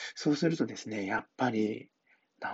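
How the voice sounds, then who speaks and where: The man speaks in a relaxed tone. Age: 40s. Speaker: hairdresser. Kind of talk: casual monologue. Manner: relaxed, filler-heavy.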